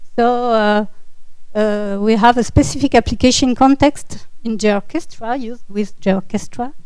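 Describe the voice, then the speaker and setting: A woman speaks at a fairly slow pace with a French accent. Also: fairly high pitch for a woman, ordinary pitch variation. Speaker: municipal GIS officer. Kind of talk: conference presentation. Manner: halting, many fillers.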